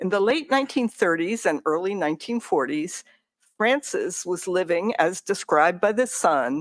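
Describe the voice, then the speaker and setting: With very wide pitch swings, a woman's voice comes through dry and close with no echo on a very clean recording with a silent background. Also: medium pitch for a woman, moderate pace. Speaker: library staff presenter. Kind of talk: presentation.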